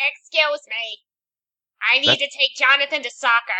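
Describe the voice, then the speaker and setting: A female-sounding put-on character voice, high for a woman, moves at a moderate pace. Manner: fussy, hurried.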